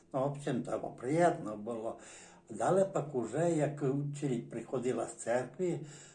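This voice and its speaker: A man with a Transcarpathian accent, fairly high pitch and ordinary pitch variation, his dark, mellow tone somewhat breathy, amid audible room echo. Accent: Transcarpathian Ukrainian dialect. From Zakarpattia, Ukraine (Berehove district village). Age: 60s. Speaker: dialect informant, villager. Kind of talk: oral history interview. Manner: halting, many hesitations and restarts.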